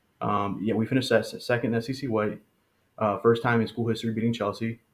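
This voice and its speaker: A man's medium-pitched voice, flat and monotone, at a very fast pace. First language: Spanish. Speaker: high school soccer coach. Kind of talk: podcast interview. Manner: hesitant, many fillers.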